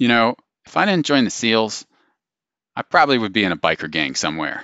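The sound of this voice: In a gruff, put-on character voice, the speaker moves at a fairly quick pace with very wide pitch swings. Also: man, medium pitch for a man.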